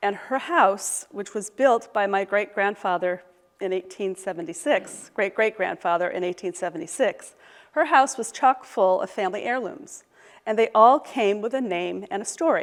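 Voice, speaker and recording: An ordinary speaking voice at a moderate pace, with lively intonation. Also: woman, medium pitch for a woman. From US Midwest, Michigan. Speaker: professor, historian. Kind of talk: lecture. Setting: lecture hall with audience, also streamed online.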